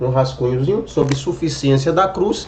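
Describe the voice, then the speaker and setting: A man's voice amid noticeable background noise. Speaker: evangelical YouTuber commenting on a video. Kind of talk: reaction video commentary.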